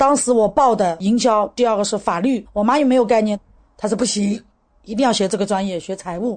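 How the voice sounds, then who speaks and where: Against a quiet background, a woman with a fairly high pitch speaks at a very fast pace. Her pitch variation is ordinary. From rural Zhejiang, China (Qiandao Lake). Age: 40s. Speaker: interviewee sharing life story. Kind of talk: personal testimony.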